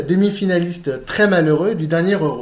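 This man has a high pitch and ordinary pitch variation, speaking at a moderate pace. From France. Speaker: football podcast host. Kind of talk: podcast interview.

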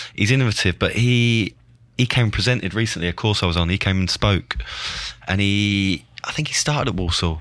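A man with an English accent, fairly low pitch and ordinary pitch variation. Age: 30s. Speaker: former professional footballer. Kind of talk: casual chat.

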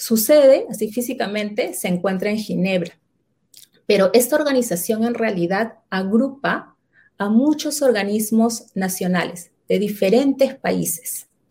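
The voice has a Peruvian accent and a dark, mellow, somewhat breathy tone. It moves at a fairly slow pace with ordinary pitch variation. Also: woman, fairly high pitch for a woman. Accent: Peruvian Spanish (Lima). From Lima, Peru. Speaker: quality management consultant. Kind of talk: interview.

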